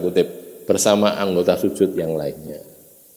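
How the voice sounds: Moderate pace and a dark, mellow tone. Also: man.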